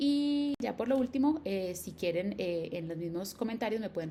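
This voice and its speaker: At a fairly quick pace, a woman speaks with lively intonation over noticeable background noise. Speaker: educational YouTuber. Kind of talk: tutorial. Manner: fast.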